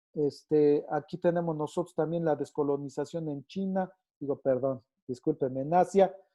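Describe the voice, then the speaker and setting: With a Mexican accent, this man talks at a fairly high pitch and keeps his intonation fairly even. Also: moderate pace. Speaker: teacher. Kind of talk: online lecture. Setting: video call with screen share. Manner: halting with fillers.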